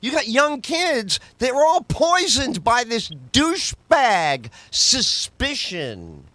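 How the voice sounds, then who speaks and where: A man's raised, projected voice, bright and sharp in tone, with lively intonation at a very slow pace. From New York, the Bronx. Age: 60s. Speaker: comedian and talk radio host. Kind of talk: casual podcast chat. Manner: animated.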